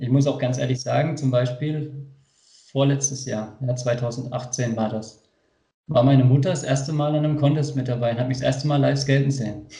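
A man speaks at a medium pitch and moderate pace, somewhat breathy, with a dark, mellow tone and monotone, flat intonation. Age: 20s. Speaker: skateboarder. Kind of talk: casual chat.

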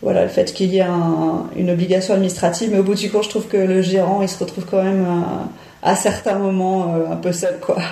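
The speech is monotone, with flat intonation. It proceeds at a moderate speed. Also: woman. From Paris, France. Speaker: cycling educator. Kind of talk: interview. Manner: hesitant, filler-heavy.

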